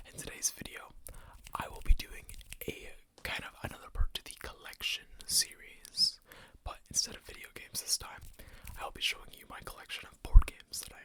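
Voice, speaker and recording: Whispering at a fairly quick pace, the speaker leaves long, frequent pauses. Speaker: ASMR content creator. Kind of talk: ASMR collection showcase, casual talk to camera. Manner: soft-spoken, conversational.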